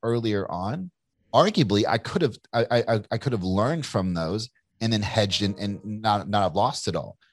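A man with an American accent speaks in a normal speaking voice at medium pitch and a moderate pace. The sound is dry and close, with no echo. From Kentucky, US South. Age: 40s. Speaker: entrepreneur and author. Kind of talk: casual interview.

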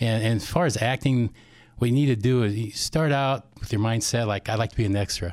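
On a very clean recording with a silent background, a man uses a plain, everyday voice at a medium pitch, speaking fairly quickly with ordinary pitch variation. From Iowa, US Midwest. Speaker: chiropractor and actor. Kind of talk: casual interview.

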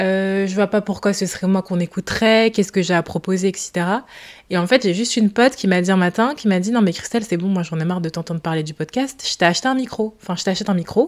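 Very fast speech from a woman with a medium pitch. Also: ordinary pitch variation. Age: 20s. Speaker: podcast host. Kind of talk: casual solo monologue. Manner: casual, hesitant with many fillers.

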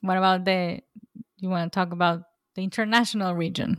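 A woman talks at a moderate pace in a medium pitch. Her intonation stays monotone and flat. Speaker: podcast co-host. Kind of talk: casual chat. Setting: remote recording.

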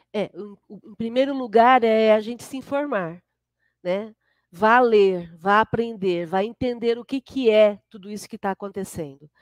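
A plain, everyday voice with ordinary pitch variation and big swings in loudness, in a very clean recording with a silent background and a dry, close sound with no echo. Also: woman, fairly high pitch for a woman, fairly slow pace. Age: 50s. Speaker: spiritist centre leader and therapist. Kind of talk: casual interview.

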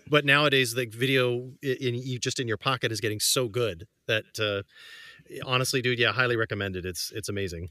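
A man with a bright, sharp tone speaks fairly quickly at a medium pitch with ordinary pitch variation, in a dry, close sound with no echo. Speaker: podcast co-host, musician. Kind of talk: casual chat among friends. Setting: video call.

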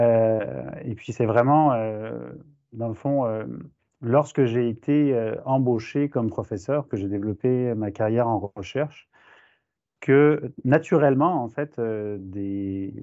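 A man talks at a very slow pace. His medium-pitched voice has ordinary pitch variation. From France. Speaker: professor. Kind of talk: interview.

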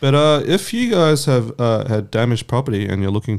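A man with an Australian accent speaks at a moderate pace and medium pitch. His pitch varies in an ordinary way on a very clean recording with a silent background. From Vietnamese heritage. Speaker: podcast co-host. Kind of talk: casual chat. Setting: studio.

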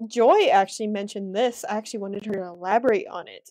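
The recording is very clean, with a silent background. A woman with a fairly high pitch has a normal speaking voice. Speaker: reselling podcast co-host. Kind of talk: casual chat.

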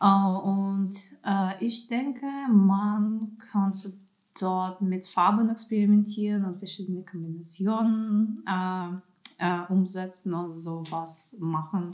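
Very slow delivery with fairly even intonation. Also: woman, medium pitch for a woman. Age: 20s. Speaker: art student. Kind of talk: casual chat.

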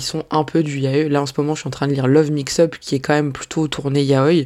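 A woman's voice sits very deep and low. She talks fairly quickly. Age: 30s. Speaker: manga podcaster. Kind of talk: casual solo podcast Q&A. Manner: animated.

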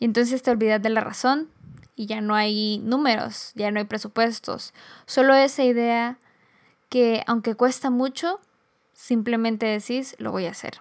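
In a very clean recording with a silent background, a woman with an unremarkable speaking voice talks fairly slowly at a fairly high pitch with fairly even intonation. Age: 20s. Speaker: podcast host. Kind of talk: solo reflective monologue.

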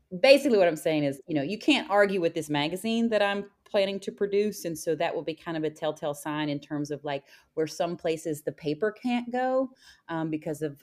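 A woman speaks at a fairly quick pace with lively intonation and a fairly low pitch, in a plain, everyday voice. The recording is very clean, with a silent background. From West Virginia. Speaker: magazine founder. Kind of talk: casual interview conversation.

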